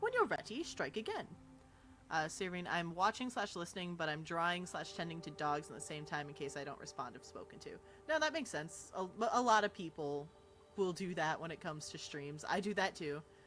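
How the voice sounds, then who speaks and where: Over background music, a woman with a fairly low voice speaks at a fairly quick pace, her loudness swinging widely. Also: ordinary pitch variation. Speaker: streamer. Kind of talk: live gameplay stream chat. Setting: home livestream, no webcam.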